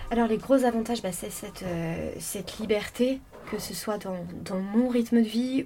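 A woman with a fairly high pitch talks at a fairly slow pace with ordinary pitch variation. Her loudness swings widely, and noticeable background noise is present. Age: 20s. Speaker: freelance radio journalist. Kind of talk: interview. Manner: halting, many fillers.

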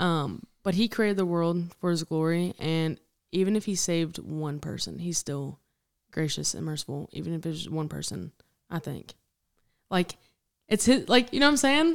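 A woman speaks at a moderate pace in a fairly low pitch, with lively intonation and a plain, everyday voice. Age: 20s. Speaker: podcast host. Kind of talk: casual faith discussion.

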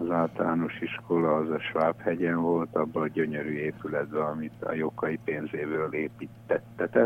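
A man speaks very slowly while noticeable noise carries on in the background. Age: 70s. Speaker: business founder. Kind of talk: radio interview. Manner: halting, with fillers.

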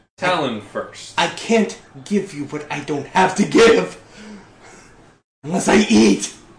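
Using a put-on character voice with a high pitch, a man talks at a fairly slow pace with long, frequent pauses. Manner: demanding, hungry.

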